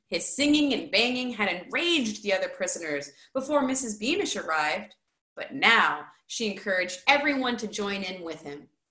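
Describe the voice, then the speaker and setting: In a room with audible echo but a quiet background, a woman with a fairly high, bright, sharp voice talks at a moderate pace, with very wide pitch swings and big swings in loudness. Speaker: high school teacher. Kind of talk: children's book read-aloud. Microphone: webcam.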